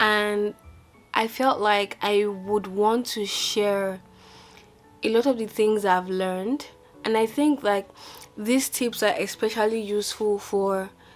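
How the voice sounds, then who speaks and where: Over music in the background, a woman speaks very slowly at medium pitch, leaving long, frequent pauses, with fairly even intonation. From Nigeria (Lagos). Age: 20s. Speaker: YouTuber, software company founder. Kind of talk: casual advice talk to camera.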